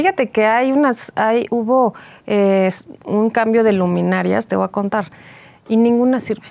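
Her voice has a fairly high pitch and fairly even intonation. The woman's loudness stays very even throughout. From Mexico City. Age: 40s. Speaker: political candidate. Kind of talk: interview. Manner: halting.

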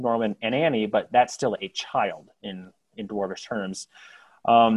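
Plain reading aloud over a quiet background

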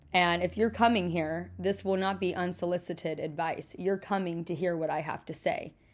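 The recording is very clean, with a silent background. A woman uses a plain, everyday voice at a fairly low pitch and a moderate pace. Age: 30s. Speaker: podcast host sharing personal story. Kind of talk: personal monologue. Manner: emotional, candid.

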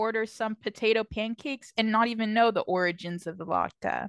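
A woman with an unremarkable speaking voice talks at a fairly quick pace and a fairly high pitch, with ordinary pitch variation. The background is quiet, and the sound is dry and close with no echo. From New Jersey, US. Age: 20s. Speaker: college student podcast co-host. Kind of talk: scripted casual chat.

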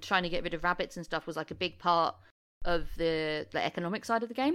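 A woman with a slight Midlands accent speaks at a fairly quick pace in a bright, sharp tone and a medium pitch. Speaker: podcast co-host. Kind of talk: casual chat.

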